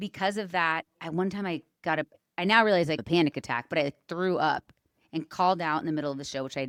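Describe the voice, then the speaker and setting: Using a normal speaking voice, a woman with a General American accent speaks at a fairly low pitch and a fairly quick pace, with ordinary pitch variation, in a very clean recording with a silent background and a dry, close sound with no echo. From San Francisco Bay Area. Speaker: stage performer and artistic director. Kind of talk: podcast interview answer.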